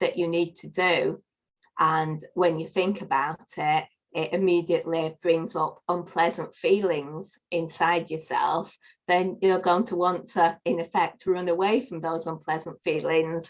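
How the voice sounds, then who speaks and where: In a northern English accent, a woman speaks at a fairly slow pace with a fairly low pitch and fairly even intonation. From northern England. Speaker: life coach. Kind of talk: podcast interview.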